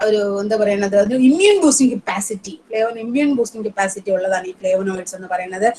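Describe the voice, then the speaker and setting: Against noticeable background noise, a woman with a medium pitch speaks with ordinary pitch variation and big swings in loudness. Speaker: professor, resource speaker. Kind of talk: lecture. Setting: online webinar. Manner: halting, hesitant with fillers.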